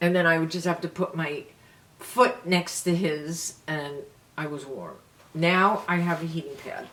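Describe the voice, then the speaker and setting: A woman talks with a New York accent at a fairly slow pace, her pitch fairly low with ordinary variation and big swings in loudness. There is noticeable background noise. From New York City. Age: 70s. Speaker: beauty vlogger. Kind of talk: casual chat.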